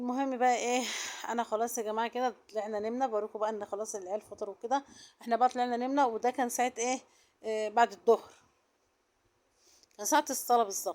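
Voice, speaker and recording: A woman talks at a fairly quick pace with fairly even intonation, broken by long, frequent pauses. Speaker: vlogger. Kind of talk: casual vlog narration. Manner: soft-spoken.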